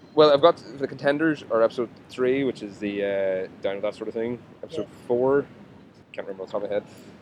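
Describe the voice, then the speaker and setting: A man with a plain, everyday voice talks at a fairly quick pace and medium pitch, with ordinary pitch variation. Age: 30s. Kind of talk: casual chat. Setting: outdoors.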